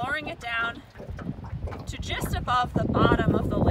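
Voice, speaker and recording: Over loud background noise, a man talks at a moderate pace, the sound dry with no echo. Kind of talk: tutorial. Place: boat.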